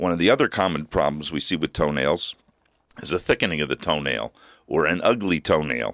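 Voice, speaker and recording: Recorded very cleanly against a silent background, the voice has an American accent, vocal fry, ordinary pitch variation, and a dry, close sound with no echo. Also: man, very deep, low pitch for a man. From New Jersey. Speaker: podiatrist. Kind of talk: radio interview.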